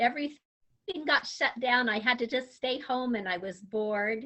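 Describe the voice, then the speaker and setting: Speaking with an American accent, a woman keeps a moderate pace at a high pitch. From Utah. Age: 60s. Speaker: grandmother, substitute teacher. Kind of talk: interview answers.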